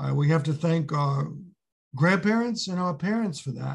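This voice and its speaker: A man with a New York accent speaks at a fairly high pitch. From New York City (Brooklyn). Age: 70s. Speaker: retired history teacher. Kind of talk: interview.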